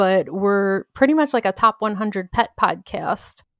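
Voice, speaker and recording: The pace is moderate, in a normal speaking voice. The sound is dry and close, with no echo. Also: woman, quiet background. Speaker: podcaster and entrepreneur. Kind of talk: casual interview.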